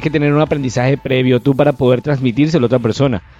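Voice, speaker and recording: Music plays behind a man with a fairly high pitch. He talks very fast with fairly even intonation. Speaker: podcast co-host. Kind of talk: casual chat. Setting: outdoor terrace. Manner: halting, stammering.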